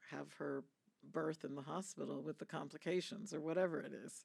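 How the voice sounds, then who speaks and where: A woman speaks with a very deep, low pitch and vocal fry. Her intonation stays fairly even. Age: 60s. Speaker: UN agency head, physician. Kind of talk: panel discussion Q&A. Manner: measured, with frequent fillers.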